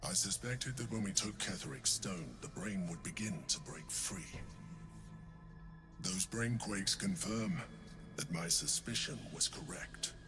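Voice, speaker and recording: A man uses a put-on character voice at a fairly low pitch, with long, frequent pauses. Loud background noise runs behind him. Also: moderate pace. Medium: video game. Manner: measured, formal, deliberate.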